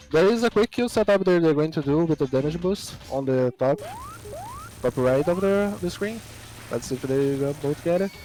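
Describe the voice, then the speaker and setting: In a non-native accent, the speaker goes at a moderate pace over noticeable background noise. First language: not English. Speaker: speedrun race commentator. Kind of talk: live commentary.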